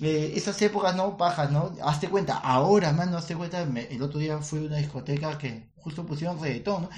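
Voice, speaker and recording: A man's fairly high voice at a fairly quick pace with ordinary pitch variation, plus noticeable background noise and audible room echo. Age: 30s. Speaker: comedian, podcast co-host. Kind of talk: casual chat.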